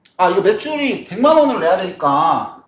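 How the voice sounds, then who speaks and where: A man is talking. He swings his pitch very widely. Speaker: business author and YouTuber. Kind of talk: lecture. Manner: casual, down-to-earth speaking style; repetitive, halting with fillers.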